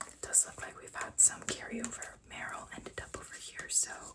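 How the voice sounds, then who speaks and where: Noticeable background noise fills the clip. The voice is a whisper at a fairly slow pace. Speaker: ASMR content creator. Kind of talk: casual ASMR show-and-tell of card collection. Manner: soft whispering.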